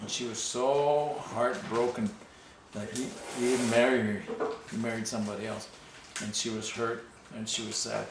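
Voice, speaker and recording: Fairly even intonation and a moderate pace are heard over noticeable background noise. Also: man, medium pitch for a man. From Ojibwe First Nations, Canada. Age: old. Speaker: storyteller of traditional legends. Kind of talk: oral storytelling to family. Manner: relaxed, conversational.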